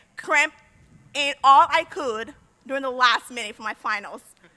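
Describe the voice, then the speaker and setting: A woman projects a raised voice at a high pitch. Her tone is bright and sharp. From Liberia. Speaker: university graduate, senior speaker. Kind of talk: commencement speech.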